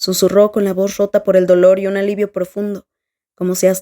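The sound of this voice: The reading voice sounds unforced. Nothing much is heard behind it.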